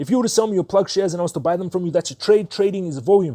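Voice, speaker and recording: A man speaks with a high pitch and a dark, mellow tone. His pitch varies in an ordinary way, and the sound is dry and close with no echo. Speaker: stock market youtuber. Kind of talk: investing tutorial. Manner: fast.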